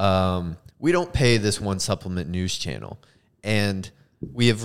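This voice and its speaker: A man's fairly low-pitched, ordinary speaking voice at a moderate pace with ordinary pitch variation. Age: 20s. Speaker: podcast co-host, energy drink brand creator. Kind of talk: casual chat.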